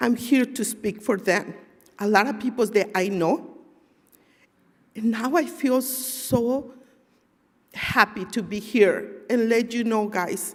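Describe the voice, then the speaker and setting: Somewhat breathy, a woman with a non-native accent speaks at a fairly high pitch with ordinary pitch variation. Her pace is very slow, with long, frequent pauses. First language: not English. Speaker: community member giving testimony. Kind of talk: testimony.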